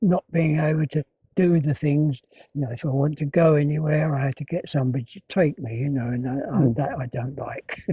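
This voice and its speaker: A man speaks with a fairly high pitch, ordinary pitch variation and a dark, mellow tone. He sounds somewhat breathy and leaves long, frequent pauses. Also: dry, close sound with no echo. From Essex, England. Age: 80s+. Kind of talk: interview answer. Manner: hesitant.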